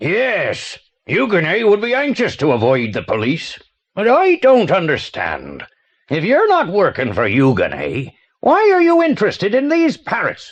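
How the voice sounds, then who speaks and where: A man's put-on character voice, high in pitch, at a moderate pace against a quiet background. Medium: audio drama. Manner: pompous, florid.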